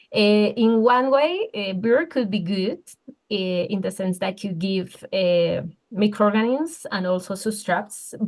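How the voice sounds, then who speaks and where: A woman with a Spanish accent speaks at a fairly slow pace. Her pitch is medium, with ordinary variation. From Colombia. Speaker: sports nutritionist. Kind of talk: interview. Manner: halting, many fillers.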